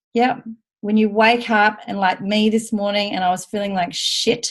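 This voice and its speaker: A woman speaks at a fairly high pitch with ordinary pitch variation and a somewhat breathy quality. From Australia. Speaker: team leader in direct sales. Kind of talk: team training call. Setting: video call. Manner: animated.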